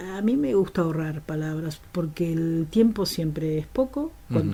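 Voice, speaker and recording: A woman talks at a fairly slow pace in a fairly low voice with a dark, mellow tone. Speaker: radio host and journalist. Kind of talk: interview answer.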